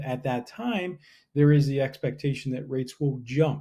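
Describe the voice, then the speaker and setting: A man with an American accent speaks at a fairly high pitch, somewhat breathy, with a dark, mellow tone and fairly even intonation. The recording is very clean and the background silent. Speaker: real estate agent. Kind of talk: market update video. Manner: fast.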